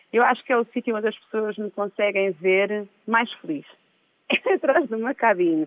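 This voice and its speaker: A woman's plain, everyday voice, fairly high in pitch, with ordinary pitch variation and a moderate pace. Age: 40s. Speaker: DJ. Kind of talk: interview, casual chat.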